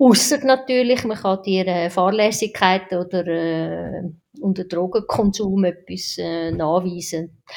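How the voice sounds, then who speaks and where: Speaking with a Swiss accent, a woman uses a medium pitch and lively intonation. Her pace is very slow. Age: 50s. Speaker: anesthesiologist. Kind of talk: casual interview.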